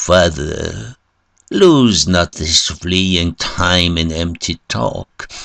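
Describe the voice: A man puts on a character voice, low-pitched with vocal fry. He talks at a very slow pace with ordinary pitch variation. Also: fairly bright tone.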